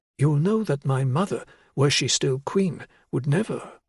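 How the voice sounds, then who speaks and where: A put-on character voice from a man, fairly high in pitch, at a moderate pace over a quiet background. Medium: read story. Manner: cold, controlled, commanding.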